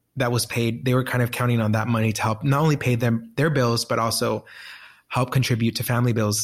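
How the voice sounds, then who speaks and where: A man speaks with a Spanish accent at a medium pitch and a fairly quick pace. His voice is somewhat breathy, his intonation fairly even, and the recording very clean with a silent background. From Colombia. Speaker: nonprofit executive director. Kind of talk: interview. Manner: casual.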